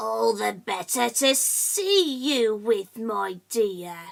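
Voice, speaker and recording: A put-on character voice at a very slow pace. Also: woman, fairly high pitch for a woman. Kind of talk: bedtime story. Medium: read story. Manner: sly.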